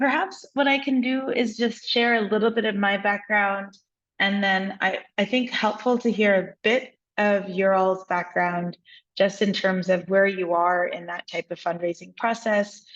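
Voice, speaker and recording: An ordinary speaking voice with an American accent moves at a fairly slow pace. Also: woman, medium pitch for a woman, ordinary pitch variation. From United States. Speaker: venture investor, workshop mentor. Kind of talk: workshop discussion.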